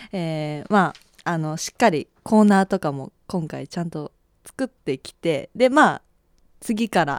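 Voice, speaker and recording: A woman's fairly slow speech with lively intonation and big swings in loudness, on a very clean recording with a silent background. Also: dry, close sound with no echo. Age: 20s. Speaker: radio personality. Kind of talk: casual radio talk. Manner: shaky voice.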